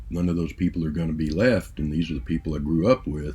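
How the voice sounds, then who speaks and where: The voice is dark and mellow, with vocal fry. It moves at a very fast pace with ordinary pitch variation. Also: man. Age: 60s. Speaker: music vlogger. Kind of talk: casual monologue. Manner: halting, many fillers.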